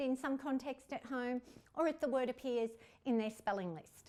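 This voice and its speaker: A woman speaks with an Australian accent at a moderate pace. Her pitch is high, with ordinary variation. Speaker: literacy consultant and teacher trainer. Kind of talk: tutorial.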